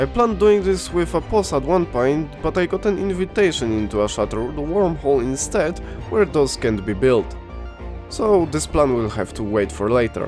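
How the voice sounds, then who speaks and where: Over music in the background, a man talks at a moderate pace with a medium pitch and very wide pitch swings. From Poland. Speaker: video game YouTuber. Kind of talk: gameplay commentary narration.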